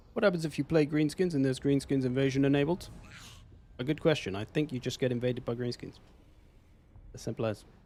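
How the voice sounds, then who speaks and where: With a dark, mellow tone and fairly high pitch, a man speaks at a very fast pace yet with long, frequent pauses. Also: ordinary pitch variation. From England. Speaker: video game streamer. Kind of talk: live gameplay commentary. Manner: casual, conversational.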